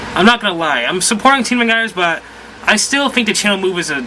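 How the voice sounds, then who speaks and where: A man's raised, projected, high-pitched voice at a fairly quick pace, over noticeable background noise. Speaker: video game vlogger. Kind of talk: casual vlog. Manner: rambling, halting.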